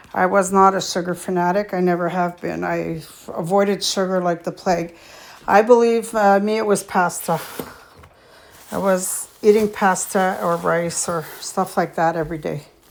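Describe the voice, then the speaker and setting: There is noticeable background noise behind the woman. She talks at a moderate pace with a medium pitch and fairly even intonation. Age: 60s. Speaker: vlogger. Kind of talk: casual chat. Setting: home gym. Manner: hesitant, many fillers.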